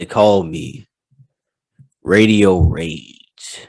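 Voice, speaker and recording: A man does a put-on character voice with very deep, low pitch and ordinary pitch variation. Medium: game stream. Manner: menacing, mocking.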